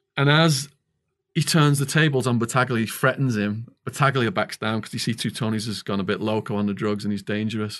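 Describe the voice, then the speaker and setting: With a Liverpool accent, a man speaks at a fairly quick pace and a medium pitch, with ordinary pitch variation. The background is quiet. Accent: Liverpool-area Northern English (Widnes). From northwest England. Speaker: author and former stock trader, ex-prisoner.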